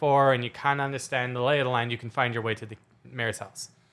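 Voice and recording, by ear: Natural-voiced reading aloud with fairly even intonation.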